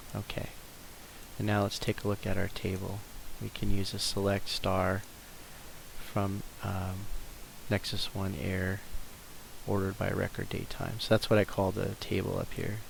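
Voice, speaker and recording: Long, frequent pauses break up a man's fairly low, monotone delivery, which has flat intonation and vocal fry. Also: moderate pace. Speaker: software tutorial creator. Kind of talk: screen-recorded tutorial. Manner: casual, with many fillers.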